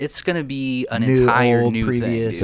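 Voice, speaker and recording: A man with a normal speaking voice and medium pitch keeps fairly even intonation on a very clean recording with a silent background. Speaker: podcast host.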